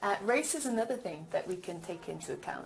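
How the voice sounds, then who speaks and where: A woman is speaking. Room echo can be heard around her voice. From England, Birmingham. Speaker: language teacher. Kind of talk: recorded lecture.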